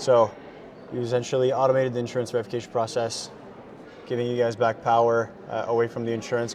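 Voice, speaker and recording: The speaker talks very fast in a monotone, flat delivery over noticeable background noise. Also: man. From Quebec, Gatineau. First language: French and Farsi. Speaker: tech startup founder. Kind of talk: interview. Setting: busy conference lounge.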